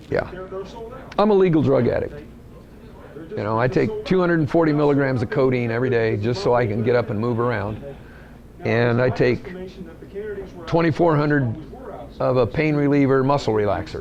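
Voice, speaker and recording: This man speaks at a fairly quick pace with medium pitch and lively intonation, yet with long, frequent pauses. Noticeable background noise runs underneath. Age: 60s. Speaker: racer. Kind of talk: interview.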